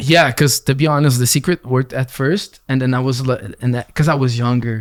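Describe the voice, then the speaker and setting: This man's medium-pitched voice moves at a fairly quick pace with fairly even intonation, recorded dry and close with no echo and a very clean, silent background. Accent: Quebec. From Quebec (Gatineau). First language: French. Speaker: rapper. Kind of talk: casual chat.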